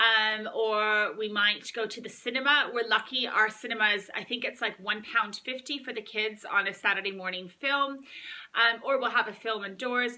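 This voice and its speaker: A woman with a fairly high pitch and an upbeat tone speaks at a moderate pace with hardly any pauses. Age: 30s. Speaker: mum vlogger. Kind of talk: casual talk to camera. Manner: chatty, upbeat.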